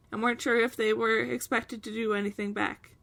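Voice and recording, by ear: The words are read aloud. It comes in a natural voice.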